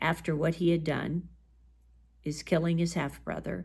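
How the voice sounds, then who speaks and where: A woman's very deep, low voice, edged with vocal fry, comes through on a very clean recording with a silent background. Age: 60s. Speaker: bible teacher. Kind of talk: bible study talk. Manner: conversational.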